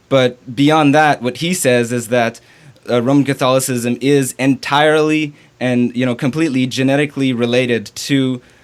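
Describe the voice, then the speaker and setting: The man speaks at a medium pitch with fairly even intonation. His pace is moderate. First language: French. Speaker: theology student. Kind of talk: interview. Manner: halting, many fillers.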